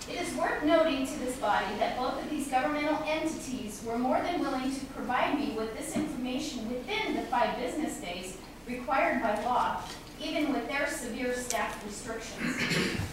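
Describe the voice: A woman's high voice with lively intonation, audible room echo and clear background noise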